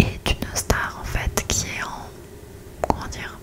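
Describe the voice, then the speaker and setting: Noticeable background noise fills the recording. Underneath it, a woman whispers at a very slow pace. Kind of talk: ASMR whisper talk about TV series. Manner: whispered very close to the mic, soft, relaxing.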